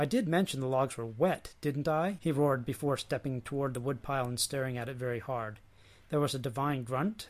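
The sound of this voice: An unforced reading voice carries the recording.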